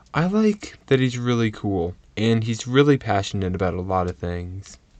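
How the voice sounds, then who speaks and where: At a moderate pace, a man speaks with a fairly low pitch and ordinary pitch variation. He has an ordinary speaking voice, and the background is quiet. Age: 20s. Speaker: university student, interviewee. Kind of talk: interview.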